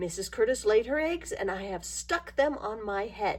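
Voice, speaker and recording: A woman in a put-on character voice at a moderate pace. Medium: read story.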